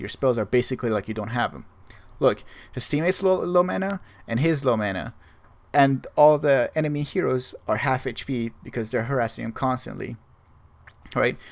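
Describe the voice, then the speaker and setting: A man with a non-native accent, medium pitch, lively intonation and a fairly quick pace. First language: not English. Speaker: gaming guide creator. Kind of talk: tutorial. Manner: halting, with many fillers.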